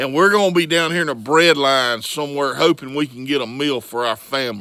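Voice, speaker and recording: With a Southern US accent, a man talks at a fairly quick pace in a fairly high pitch, his tone animated, bright and sharp. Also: ordinary pitch variation. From US South, Florida Panhandle. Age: 50s. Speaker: vlogger. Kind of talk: political rant.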